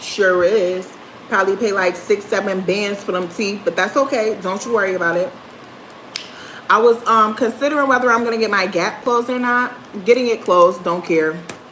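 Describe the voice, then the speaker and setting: Fairly quick speech from a woman at medium pitch, ordinary pitch variation, noticeable background noise throughout. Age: 30s. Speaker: livestreamer. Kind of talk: casual chat. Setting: livestream.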